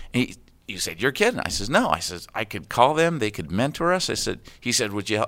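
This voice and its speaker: Speaking very fast with an American accent, a man at a medium pitch swings his pitch very widely and shows vocal fry, on a very clean recording with a silent background. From US East Coast (Connecticut and Florida). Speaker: retired flight attendant and community volunteer. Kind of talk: casual interview.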